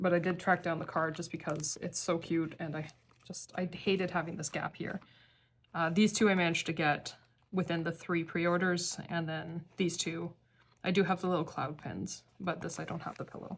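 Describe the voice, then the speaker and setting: A woman with a fairly low pitch talks at a moderate pace in a monotone, flat intonation, leaving long, frequent pauses. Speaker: K-pop card collector vlogger. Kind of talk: casual hobby tutorial.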